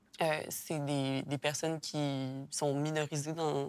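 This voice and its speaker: A woman's very deep, low voice in flat monotone, on a very clean recording with a silent background. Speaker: interview participant. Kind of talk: casual discussion.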